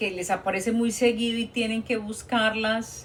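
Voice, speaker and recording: Someone speaks at a very slow pace in a Colombian accent. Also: woman. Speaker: nurse. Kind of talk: live stream Q&A talk. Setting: TikTok live stream. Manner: conversational, hesitant fillers.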